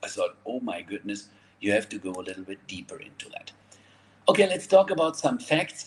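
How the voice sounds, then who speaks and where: A man speaks at a moderate pace with a German accent. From Germany. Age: 50s. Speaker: network marketer. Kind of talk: sales pitch. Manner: animated.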